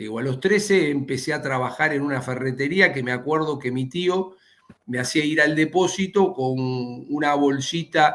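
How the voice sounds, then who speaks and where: The man's voice sits fairly high in pitch, with ordinary pitch variation. His pace is moderate. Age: 60s. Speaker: economist, former central bank manager. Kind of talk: interview on streaming news show. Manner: halting, many repetitions and fillers.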